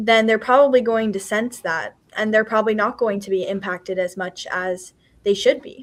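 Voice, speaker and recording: A woman speaks at a moderate pace in a plain, everyday voice with a fairly high pitch. Her intonation is fairly even, and the recording is very clean with a silent background. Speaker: podcast host. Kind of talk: interview questions and conversation.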